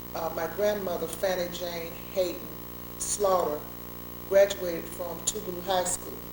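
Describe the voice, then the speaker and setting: A woman with a Mississippi accent speaks at a fairly slow pace, with audible room echo and noticeable background noise. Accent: US Southern, Mississippi. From Mississippi (Meridian, Forest). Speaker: attorney, civil rights veteran. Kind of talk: oral history interview.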